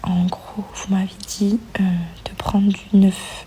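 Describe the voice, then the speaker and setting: Noticeable background noise sits behind this recording. A soft-spoken woman whispers. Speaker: vlogger, mother of a baby. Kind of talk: casual vlog to viewers. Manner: whispered, soft; hesitant with many fillers.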